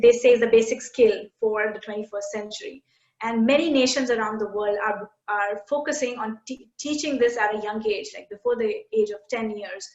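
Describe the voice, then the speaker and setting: A woman with an Indian accent speaks at a fairly high pitch and a moderate pace. Her intonation is fairly even, but her loudness swings a lot. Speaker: education tech company CEO. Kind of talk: interview conversation. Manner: halting, many fillers.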